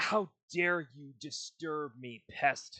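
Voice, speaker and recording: Booming, a put-on character voice sits at a middle pitch. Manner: disdainful.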